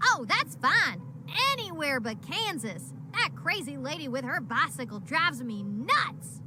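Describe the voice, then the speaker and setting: A cartoonish character voice that sounds female moves at a moderate pace over loud background noise. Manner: sarcastic, eager.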